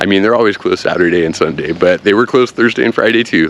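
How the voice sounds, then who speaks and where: This is a man with an American accent and ordinary pitch variation. There is noticeable background noise. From United States. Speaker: vlogger. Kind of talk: casual vlog talk. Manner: animated.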